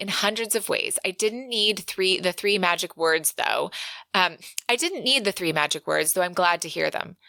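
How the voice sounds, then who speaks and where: A woman uses a raspy, put-on character voice at medium pitch, with ordinary pitch variation and a moderate pace. The sound is dry and close, with no echo. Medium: read story.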